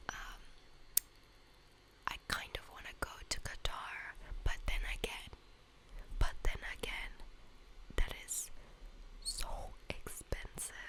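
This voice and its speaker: Whispering comes at a very slow pace with long, frequent pauses. Noticeable background noise sits behind it. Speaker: university student. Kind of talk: ASMR whisper ramble. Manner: whispered; casual, chatty.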